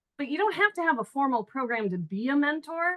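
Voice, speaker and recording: A woman speaks loudly with very wide pitch swings. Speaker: panelist. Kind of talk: panel discussion.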